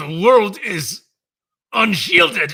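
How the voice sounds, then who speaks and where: Putting on a character voice, a man speaks in a high, raspy voice that is raised and projected, with lively intonation. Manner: through gritted teeth.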